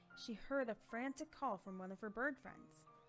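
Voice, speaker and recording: With music in the background, a woman speaks at a fairly quick pace and fairly high pitch, her intonation lively. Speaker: voice actor. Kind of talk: story narration.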